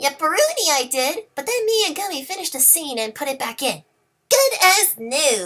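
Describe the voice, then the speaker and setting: A female-sounding voice puts on a character voice at a high pitch and a moderate pace. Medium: read story. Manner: bubbly, playful.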